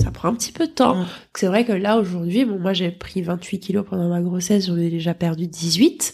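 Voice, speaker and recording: A somewhat breathy woman with a medium pitch speaks in an animated tone at a moderate pace with ordinary pitch variation. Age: 20s. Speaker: model school founder, former model. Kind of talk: casual chat.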